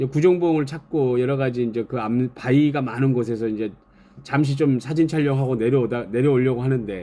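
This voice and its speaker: A man's fairly high, dark and mellow voice at a moderate pace, in a strong Jeolla accent. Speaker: YouTuber, feed delivery worker. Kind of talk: live stream casual talk. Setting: live stream with chat.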